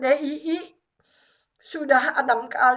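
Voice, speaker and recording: Words come at a very slow pace, the intonation staying fairly even. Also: woman. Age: 60s. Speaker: retired civil servant and religious preacher. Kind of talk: testimony.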